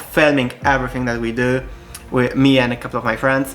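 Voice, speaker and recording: Someone speaks with a Polish accent while music plays in the background. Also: man. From Poland. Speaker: YouTuber. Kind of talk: casual vlog talk. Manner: halting, with fillers and restarts.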